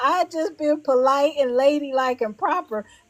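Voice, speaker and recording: A woman talks at a moderate pace, her voice pitched high. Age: 60s. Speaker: heritage club ambassador. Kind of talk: casual interview chat. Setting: livestream.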